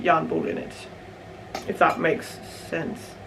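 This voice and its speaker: Room echo and noticeable background noise surround a woman with a Danish accent. She speaks at a fairly slow pace. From Denmark. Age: 20s. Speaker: knitting podcaster. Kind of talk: casual chat. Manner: mumbling; hesitant, many fillers.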